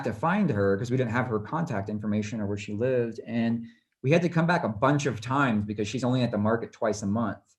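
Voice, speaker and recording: At a fairly quick pace, a man with an American accent talks at a medium pitch with ordinary pitch variation, an unremarkable speaking voice. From US West Coast, Los Angeles. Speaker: travel and portrait photographer. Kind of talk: presentation. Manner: casual, many fillers.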